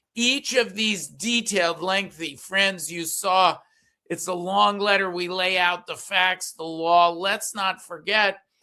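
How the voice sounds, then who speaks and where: A man's high, bright and sharp raised voice, projected at a very slow pace with fairly even intonation, on a very clean recording with a silent background. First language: Yiddish. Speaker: political commentator and columnist. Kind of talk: political talk show discussion. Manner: halting, many fillers.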